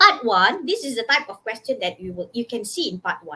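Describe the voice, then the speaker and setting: A woman speaks in a raised, projected voice. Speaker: English teacher. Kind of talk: workshop lecture. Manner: loud.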